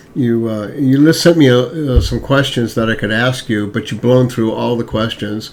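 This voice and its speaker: With noticeable background noise behind him, a man speaks at a moderate pace with hardly any pauses, his medium-pitched voice keeping a fairly even intonation. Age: 70s. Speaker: podcast host. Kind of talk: interview.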